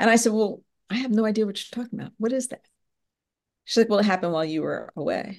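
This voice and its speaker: A fairly high-pitched woman with an American accent, very fast in pace, with long, frequent pauses and big swings in loudness. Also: ordinary pitch variation. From US, Philadelphia area, Pennsylvania. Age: 50s. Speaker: podcast host and business professor. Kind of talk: interview, answering questions.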